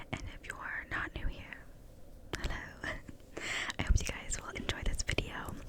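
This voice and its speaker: Whispering at a fairly slow pace with long, frequent pauses, the voice sits over noticeable background noise. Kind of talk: ASMR reading of internet stories. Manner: whispered.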